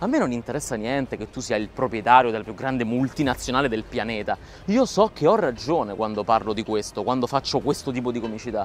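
This is a man's voice. Light background noise can be heard. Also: dry sound with no echo. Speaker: comedian vlogger. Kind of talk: casual vlog chat, impassioned monologue. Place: waterside. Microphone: lapel.

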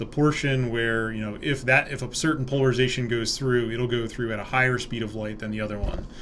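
A man speaks at a fairly quick pace with hardly any pauses. His intonation is fairly even, and there is light background noise. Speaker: university lecturer. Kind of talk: lecture. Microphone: webcam.

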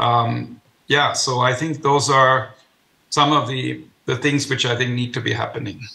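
A man with vocal fry and a bright, sharp tone talks at a fairly slow pace with fairly even intonation. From Germany. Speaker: economist and former government adviser; remote panellist. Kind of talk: panel discussion. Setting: video call. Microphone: video call.

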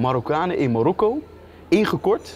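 Light background noise sits behind a man talking at a moderate pace. His voice is high-pitched. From Netherlands. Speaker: vlogger interviewing a politician. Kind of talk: casual interview. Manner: animated. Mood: playful, laughing. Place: studio. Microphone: lapel.

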